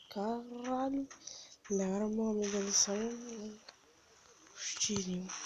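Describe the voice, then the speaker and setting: At a very slow pace with long, frequent pauses, the speaker keeps a fairly even intonation over noticeable background noise. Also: woman. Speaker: gamer. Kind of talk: casual gameplay commentary.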